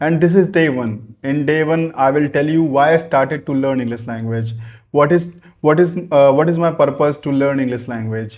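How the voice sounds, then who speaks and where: A man with a North Indian accent, fairly high in pitch with ordinary pitch variation, at a moderate pace against a quiet background. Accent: Indian English (Hindi-speaking north India). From Ayodhya, India. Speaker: businessman learning English. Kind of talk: casual talk to camera. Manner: hesitant, halting with fillers.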